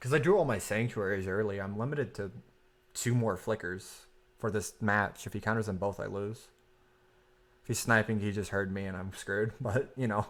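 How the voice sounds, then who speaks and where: Quiet and at a moderate pace, a man speaks in a fairly low pitch with fairly even intonation, captured in a very clean recording with a silent background. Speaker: streamer playing card game. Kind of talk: live gameplay commentary.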